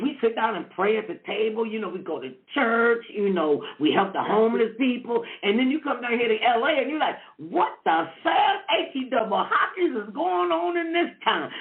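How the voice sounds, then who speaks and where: The speaker is loud and animated, with an American accent and very wide pitch swings. The pace is moderate, and background noise is noticeable. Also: woman, fairly high pitch for a woman. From Cleveland, Ohio, US. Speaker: talk show host. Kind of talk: interview / casual chat. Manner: loud and boisterous.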